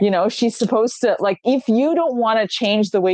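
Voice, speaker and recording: A woman with a Canadian accent speaks at a moderate pace in an unremarkable speaking voice. Her intonation is lively. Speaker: online shop host. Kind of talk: casual chat. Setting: live stream.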